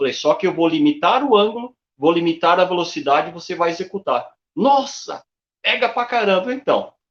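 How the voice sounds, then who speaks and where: Very wide pitch swings in a man's high voice. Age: 60s. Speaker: running coach. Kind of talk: interview.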